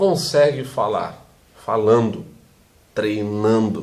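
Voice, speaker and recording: Noticeable background noise and audible room echo around very slow speech. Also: man. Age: 40s. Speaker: teacher. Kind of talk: vlog monologue. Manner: fluent, well-spoken.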